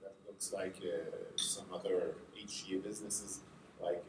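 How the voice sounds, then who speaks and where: Speaking fairly slowly, the man's voice is accompanied by audible room echo. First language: French. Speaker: health agency representative. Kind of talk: conference presentation. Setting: conference workshop with audience. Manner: halting, many fillers.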